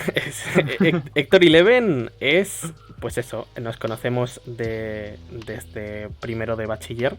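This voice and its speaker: Music plays behind a man speaking very slowly with hardly any pauses. His medium-pitched voice has lively intonation and big swings in loudness. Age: 20s. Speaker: streamer. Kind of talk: casual chat. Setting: livestream.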